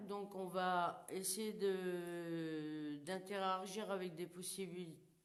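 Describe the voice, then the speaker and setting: A woman speaks at a medium pitch with audible room echo. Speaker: paranormal investigator. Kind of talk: live paranormal investigation. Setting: abandoned burned house, live stream. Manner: loud; casual. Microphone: too quiet when moving away.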